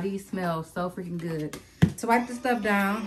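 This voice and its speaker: Music plays in the background as a woman talks with ordinary pitch variation. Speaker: family vlogger. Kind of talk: casual vlog chat. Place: home room. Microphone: phone near.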